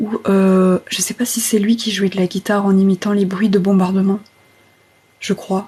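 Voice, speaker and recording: A woman whispers at a fairly slow pace. Noticeable background noise sits behind her. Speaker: ASMR streamer. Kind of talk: casual live stream chat. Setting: TikTok live stream. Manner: half-whispered.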